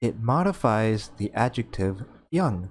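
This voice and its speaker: Heard on a very clean recording with a silent background, a man talks at medium pitch. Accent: American. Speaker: English teacher. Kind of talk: educational tutorial narration. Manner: slow, clear.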